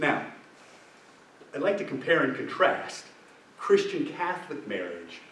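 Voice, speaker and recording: A man talks at a fairly slow pace. Audible room echo and noticeable background noise surround him. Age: 60s. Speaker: deacon leading marriage preparation ministry. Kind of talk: adult faith formation talk. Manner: conversational, checks in with audience.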